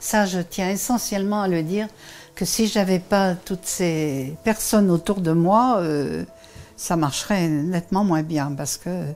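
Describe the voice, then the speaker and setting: With music behind her, a woman delivers her words very slowly. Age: 70s. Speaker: retiree, senior club president. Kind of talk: documentary interview.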